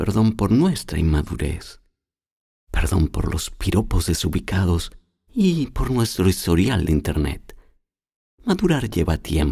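Very deep and low in pitch, a man speaks at a very slow pace with a dark, mellow tone that is somewhat breathy. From Chile. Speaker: voice actor. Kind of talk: TV commercial read.

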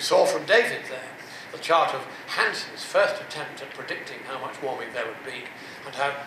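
A man talks at a fairly quick pace amid noticeable background noise and audible room echo. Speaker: public speaker. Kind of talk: lecture. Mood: mocking, persuasive. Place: hall.

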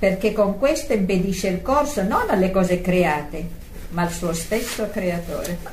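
Noticeable background noise accompanies a woman at a medium pitch. She talks at a fairly slow pace with lively intonation. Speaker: prayer group participant. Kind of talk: reading aloud.

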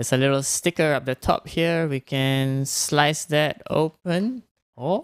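In a dry recording with no echo and a quiet background, a man speaks at a fairly slow pace with ordinary pitch variation. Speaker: tech reviewer. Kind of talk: product review livestream. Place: home room. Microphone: studio mic.

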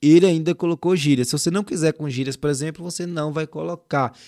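On a very clean recording with a silent background, a man's fairly high voice shows ordinary pitch variation and sounds dry and close with no echo. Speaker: youtube tutorial creator. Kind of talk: screen-share tutorial. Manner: casual, colloquial.

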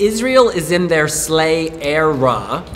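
A man is speaking. Light background noise is audible. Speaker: livestream host. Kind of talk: casual chat. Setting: indoor venue livestream. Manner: excitable. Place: shop. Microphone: phone near.

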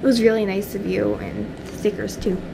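A woman talks at a moderate pace and medium pitch, with vocal fry. Background noise is clear.

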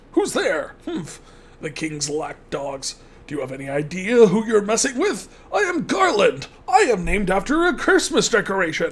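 This put-on character voice sits at a fairly high pitch. The pace is moderate. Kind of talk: comic overacting villain reading. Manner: pompous, boastful.

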